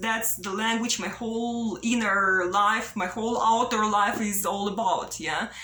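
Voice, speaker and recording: Audible room echo and noticeable background noise surround a woman's voice. Her pitch is fairly high and her intonation fairly even. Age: 30s. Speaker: vlogger. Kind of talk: personal video monologue, unscripted. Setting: self-recorded on camera. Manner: halting, repetitive with fillers.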